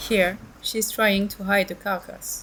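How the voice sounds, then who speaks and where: Over noticeable background noise, a woman talks at a moderate pace and medium pitch. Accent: French. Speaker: wildlife monitor. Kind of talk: documentary narration.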